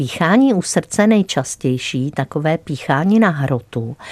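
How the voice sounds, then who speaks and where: A woman speaks at a very slow pace with a very deep, low pitch. The sound is dry and close, with no echo. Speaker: doctor and health show expert. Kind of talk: radio health advice chat. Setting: radio studio.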